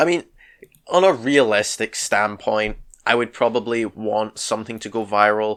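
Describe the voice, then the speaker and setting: Delivering an ordinary speaking voice, a man talks at medium pitch and a moderate pace with ordinary pitch variation. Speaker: podcast co-host. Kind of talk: casual chat.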